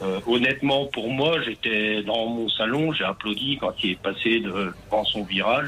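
Noticeable background noise runs under a man speaking at a fairly slow pace with a medium pitch and ordinary pitch variation. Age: 40s. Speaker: radio caller. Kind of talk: call-in.

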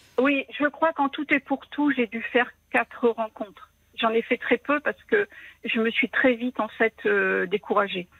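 Her pitch high, a woman speaks at a fairly slow pace with ordinary pitch variation. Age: 50s. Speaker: widowed caller. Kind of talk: personal testimony on the phone. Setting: phone call.

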